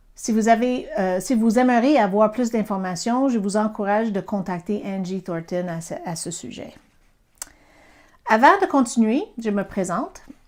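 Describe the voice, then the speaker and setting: With an American accent, a woman speaks at a fairly slow pace and a fairly high pitch with lively intonation, in a very clean recording with a silent background. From US, Pennsylvania. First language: English (speaking French). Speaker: Bible teacher. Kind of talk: Bible teaching. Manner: halting, with fillers.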